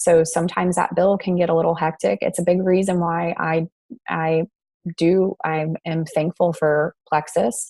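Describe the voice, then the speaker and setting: In an ordinary speaking voice, a woman with a fairly low pitch speaks fairly slowly with fairly even intonation, the sound dry and close with no echo against a quiet background. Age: 30s. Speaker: network marketing presenter. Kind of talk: presentation on a video call.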